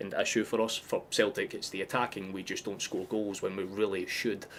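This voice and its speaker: A man speaks at a very fast pace. He has a strong Scottish accent. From Scotland. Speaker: football fan streamer. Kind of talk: live watchalong commentary. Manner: animated.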